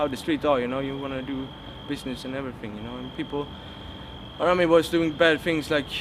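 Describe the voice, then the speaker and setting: A man with a fairly high pitch rushes along at a very fast pace amid noticeable background noise. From Sweden, Gothenburg. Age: 20s. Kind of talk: testimony. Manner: halting, many fillers.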